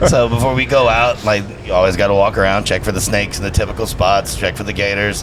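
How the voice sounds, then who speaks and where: A man with an American accent, with audible room echo and music in the background. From Louisiana. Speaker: announcer and radio host. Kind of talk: casual chat. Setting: live event podcast recording. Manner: smooth flowing cadence; animated.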